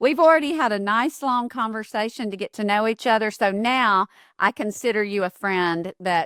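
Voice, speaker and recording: A woman with a Southern US accent talks at a moderate pace in a bright, sharp voice of medium pitch with lively intonation, the recording very clean with a silent background and a dry, close sound with no echo. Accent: Southern US accent like guest's. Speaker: podcast host. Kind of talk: casual interview chat. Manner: animated.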